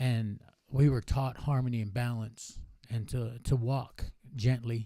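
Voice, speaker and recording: A man speaks fairly slowly at a medium pitch, with monotone, flat intonation. His tone is dark and mellow. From Navajo Nation, US Southwest. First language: Navajo. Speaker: powwow organizer and academic. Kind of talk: casual interview chat.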